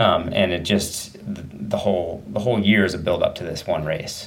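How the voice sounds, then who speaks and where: An American-accented man speaks at a moderate pace. Room echo and noticeable background noise come through as well. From Southern Oregon, US. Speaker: elite runner. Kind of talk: interview.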